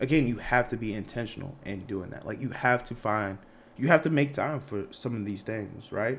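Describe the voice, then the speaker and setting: A man with an unremarkable speaking voice talks at a moderate pace, medium in pitch with ordinary pitch variation. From Boston area, Massachusetts. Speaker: PhD student. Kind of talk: casual chat.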